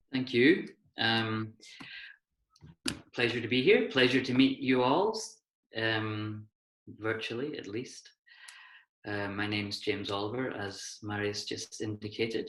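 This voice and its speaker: With a Hebridean accent, a man talks at a fairly slow pace in fairly even intonation, leaving long, frequent pauses. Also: medium pitch for a man. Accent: Hebridean Scottish. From Scotland, Isle of Skye (Hebrides). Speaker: associate professor, design researcher. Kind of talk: lecture.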